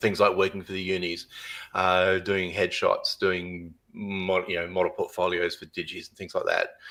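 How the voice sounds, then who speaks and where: A man talks at a moderate pace with an Australian accent. His loudness swings widely. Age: 60s. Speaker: photographer. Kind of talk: podcast interview.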